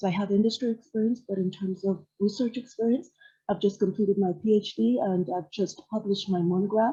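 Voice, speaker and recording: Soft-spoken and somewhat breathy, a woman talks at a fairly quick pace with a dark, mellow tone, medium pitch and ordinary pitch variation. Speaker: researcher. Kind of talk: online workshop discussion. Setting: library, video call. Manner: halting.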